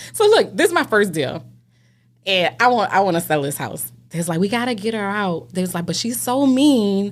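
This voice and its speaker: Delivered in a New Orleans accent at a moderate pace, the animated voice leaps through very wide pitch swings on a very clean recording with a silent background. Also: woman, medium pitch for a woman. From New Orleans, Louisiana. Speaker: realtor. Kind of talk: casual chat, storytelling.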